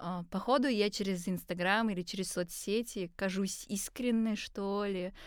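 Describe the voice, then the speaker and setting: A normal speaking voice at a moderate pace with hardly any pauses, on a very clean recording with a silent background. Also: woman, medium pitch for a woman. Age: 20s. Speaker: designer and singer. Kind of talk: casual chat. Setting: studio at university.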